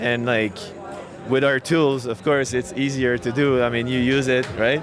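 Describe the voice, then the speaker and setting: Music plays behind a man who speaks at a moderate pace, with medium pitch and fairly even intonation. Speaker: co-founder of a crypto deployment tool. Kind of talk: interview at a conference. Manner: hesitant, many fillers and false starts.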